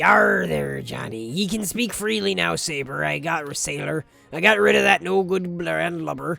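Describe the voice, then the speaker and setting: In a put-on character voice, someone speaks raspy and low-pitched at a moderate pace, with faint music in the background. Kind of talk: gruff pirate speech. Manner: gruff, dismissive.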